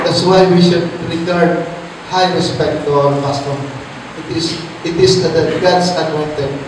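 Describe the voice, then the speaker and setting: Amid strong room echo and noticeable background noise, a man with a high pitch speaks in a monotone, flat way, leaving long, frequent pauses. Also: moderate pace. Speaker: Bible teacher. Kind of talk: Bible study teaching. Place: church.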